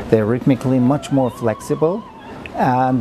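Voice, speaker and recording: With noticeable background noise behind him, a man speaks in a German accent at a medium pitch with ordinary pitch variation. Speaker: composer. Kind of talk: interview. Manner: halting, many fillers and repeats.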